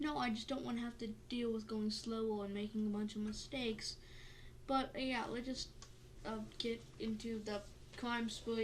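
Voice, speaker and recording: A woman's fairly high, fairly even voice at a moderate pace, with audible room echo and noticeable background noise. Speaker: podcast host. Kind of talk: reading aloud; casual chat. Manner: halting.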